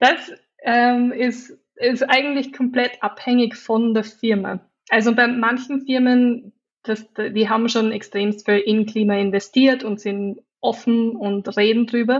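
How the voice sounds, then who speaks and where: With an Austrian accent, a woman talks at a very slow pace in a fairly high voice with fairly even intonation. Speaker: digital designer and climate activist. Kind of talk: interview.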